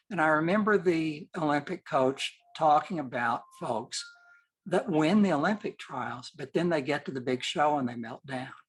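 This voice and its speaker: A man talks at a moderate pace with an American accent. His pitch is fairly high, with ordinary variation. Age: 60s. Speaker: portrait photographer. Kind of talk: interview. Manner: halting.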